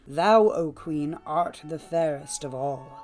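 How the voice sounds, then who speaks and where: A man puts on a character voice at a fairly high pitch and a fairly slow pace. Faint music plays in the background. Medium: read story. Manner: solemn, archaic.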